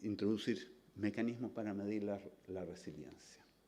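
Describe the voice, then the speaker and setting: In a room with audible echo, a man speaks at a moderate pace in a dark, mellow tone. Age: 60s. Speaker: scientist. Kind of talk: lecture.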